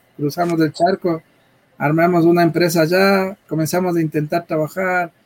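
Dry and close with no echo, the speech keeps a moderate pace. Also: man. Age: middle-aged. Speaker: tech entrepreneur. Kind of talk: interview. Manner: halting, repeats words.

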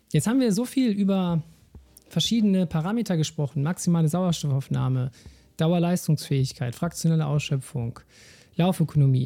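A high-pitched male voice over music in the background. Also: lively intonation, moderate pace, very even loudness. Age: 30s. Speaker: sports scientist podcast host. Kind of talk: solo educational podcast.

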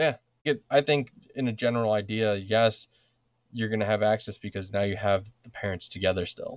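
A man speaks in a normal speaking voice at a fairly low pitch. His pace is fairly quick and his intonation fairly even. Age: 30s. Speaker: podcast co-host, father. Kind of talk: casual chat.

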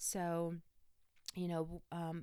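A woman's very deep, low voice on a very clean recording with a silent background. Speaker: astrology podcaster. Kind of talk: casual solo podcast talk. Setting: home recording with microphone.

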